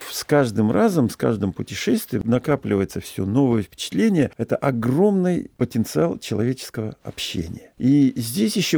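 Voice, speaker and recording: Very clean and silent in the background, the recording is dry and close with no echo. A man with a dark, mellow tone at medium pitch makes very wide pitch swings, keeping a moderate pace with hardly any pauses. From Russia, Saratov then Omsk. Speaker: yacht captain and traveler. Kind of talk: interview storytelling.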